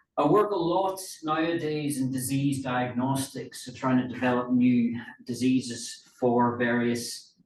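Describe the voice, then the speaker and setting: There is audible room echo as a man speaks at a fairly slow pace. His pitch is medium, with ordinary pitch variation. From Northern Ireland, north coast. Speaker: livestock nutrition researcher. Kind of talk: lecture. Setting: meeting with audience. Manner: halting, many fillers.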